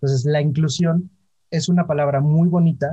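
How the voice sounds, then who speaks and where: Fairly even intonation in a somewhat breathy, fairly high male voice with a dark, mellow tone. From Mexico, Orizaba, Veracruz. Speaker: LGBT business federation co-founder. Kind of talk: interview.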